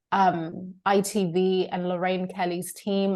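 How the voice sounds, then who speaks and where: A woman with a British accent speaks at a medium pitch in a monotone, flat intonation against a quiet background. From Zimbabwe. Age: 30s. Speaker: coach. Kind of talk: podcast interview.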